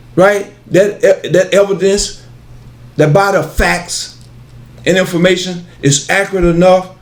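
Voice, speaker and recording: Over audible room echo, a man with a high pitch speaks at a fairly slow pace in a monotone, flat intonation. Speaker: pan-African metaphysics lecturer. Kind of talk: lecture. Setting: video studio with cameraman. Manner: halting, repetitive.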